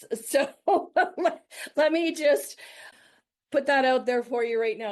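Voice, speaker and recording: The speech has lively intonation over a quiet background. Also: woman. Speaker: real estate investor. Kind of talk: presentation.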